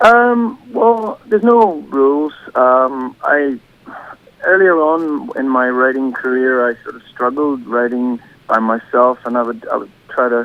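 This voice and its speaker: Noticeable background noise accompanies a man with fairly high pitch. He talks at a fairly slow pace with lively intonation. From Northern Ireland, County Derry. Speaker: singer-songwriter. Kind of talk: radio interview. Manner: halting.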